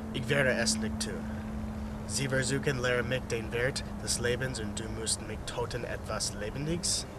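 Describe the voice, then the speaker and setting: A man talks at a medium speed, his sound dry and echo-free despite heavy noise in the background. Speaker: amateur film actor. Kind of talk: acted drama dialogue. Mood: upset, refusing. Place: forest.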